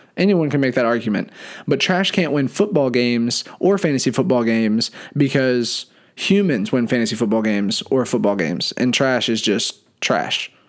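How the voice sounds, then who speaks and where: Recorded very cleanly against a silent background, a man with an unremarkable speaking voice talks at a moderate pace in a medium pitch with lively intonation. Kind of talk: game show host patter, announcing contestants and scoring them.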